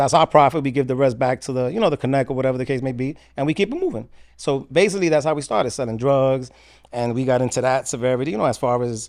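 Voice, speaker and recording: Very fast delivery from a man at medium pitch, with ordinary pitch variation. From New York, the Bronx. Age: 50s. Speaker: former prisoner turned author. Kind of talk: podcast interview. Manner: casual, conversational.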